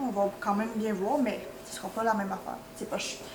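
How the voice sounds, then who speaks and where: Noticeable background noise and audible room echo fill the recording. A woman speaks at a fairly quick pace. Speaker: vlogger. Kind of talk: casual vlog talk. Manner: fast.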